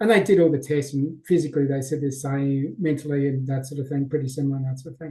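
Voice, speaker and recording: At a very fast pace, a man speaks in a dark, mellow tone that is somewhat breathy. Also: fairly high pitch for a man, fairly even intonation, hardly any pauses. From Australia. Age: 50s. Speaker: mindset coach. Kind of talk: podcast interview. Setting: video call.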